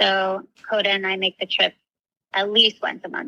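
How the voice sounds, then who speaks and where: In an American accent, a woman speaks at medium pitch. Her tone is bright and sharp, with a dry, close sound and no echo. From Florida, US. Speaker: recovery coach. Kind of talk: casual interview chat.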